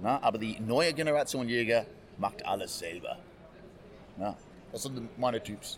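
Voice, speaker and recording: A man at a medium pitch and fairly slow pace, lively in intonation, with long, frequent pauses. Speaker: hunter and game cook. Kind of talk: casual interview. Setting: trade fair. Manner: animated.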